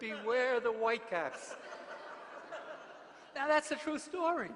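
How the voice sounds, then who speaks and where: With a New York accent, a man talks at a moderate pace using lively intonation. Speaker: mission preacher. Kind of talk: sermon.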